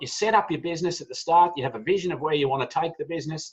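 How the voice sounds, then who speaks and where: In an Australian accent, a man talks at a very fast pace with a high pitch and ordinary pitch variation. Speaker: business owner. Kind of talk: online presentation.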